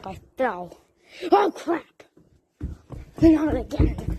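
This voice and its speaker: A woman puts on a character voice and pitches it high. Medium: machinima. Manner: excitable.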